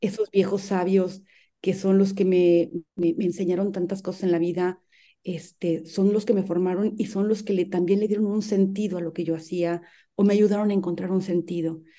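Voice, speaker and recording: A woman's medium-pitched voice, dark and mellow in tone, with flat, monotone intonation at a moderate pace. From Mexico, rural San Luis Potosí. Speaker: human rights defender. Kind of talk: interview.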